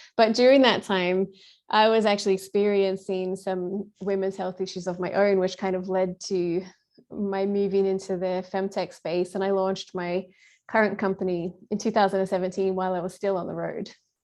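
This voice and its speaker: A woman speaks in an Australian accent at a moderate pace. Her intonation is monotone and flat, and the background is quiet. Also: medium pitch for a woman. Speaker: patient advocacy founder. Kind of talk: podcast interview.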